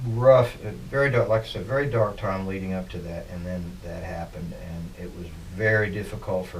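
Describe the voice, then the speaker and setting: A man's fairly low voice at a moderate pace, with ordinary pitch variation, noticeable background noise and audible room echo. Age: 60s. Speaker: musician. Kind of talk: interview. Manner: halting.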